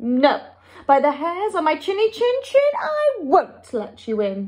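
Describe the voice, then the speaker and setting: Putting on a squeaky character voice, a woman talks at an extremely high pitch with very wide pitch swings and a fairly slow pace. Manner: squeaking.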